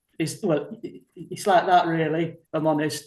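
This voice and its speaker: A man with a high-pitched voice speaks at a fairly slow pace, his pitch varying in an ordinary way. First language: not English. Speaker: retired network engineer, hobbyist. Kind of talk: casual chat. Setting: video call. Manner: hesitant, searching for words.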